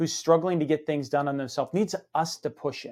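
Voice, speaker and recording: A man with a plain, everyday voice speaks at a fairly quick pace, his pitch fairly high. His pitch varies in an ordinary way, over a quiet background. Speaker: podcast host. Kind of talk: interview conversation. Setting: studio.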